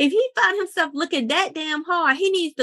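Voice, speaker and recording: A woman's high, raised and projected voice, bright and sharp in tone, with lively intonation and a dry, close sound free of echo. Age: 30s. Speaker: podcast host. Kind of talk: casual chat.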